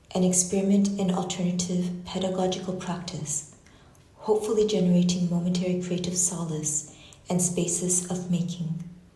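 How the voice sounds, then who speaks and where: Flat, monotone intonation comes through audible room echo and noticeable background noise. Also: woman, medium pitch for a woman, moderate pace. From Canada. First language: Japanese. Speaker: artist and university researcher. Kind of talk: lecture reading a prepared text. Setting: lecture hall with audience and online stream. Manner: measured, reflective.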